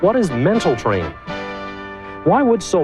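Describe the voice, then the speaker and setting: Music plays in the background while a man speaks. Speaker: infomercial host. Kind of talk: infomercial presentation.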